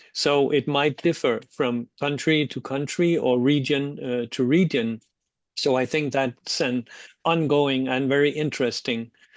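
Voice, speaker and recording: A man with a Danish accent, fairly high-pitched for a man, at a fairly slow pace with fairly even intonation, in a dry, close sound with no echo over a quiet background. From Denmark. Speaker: social work researcher. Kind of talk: webinar discussion. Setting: online webinar. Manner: halting, with many fillers.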